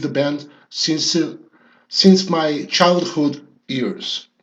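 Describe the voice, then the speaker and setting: Speaking at a very slow pace with a non-native accent, the man has a fairly high pitch. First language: Portuguese. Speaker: rock music youtuber. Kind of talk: monologue commentary video. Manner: halting with frequent fillers.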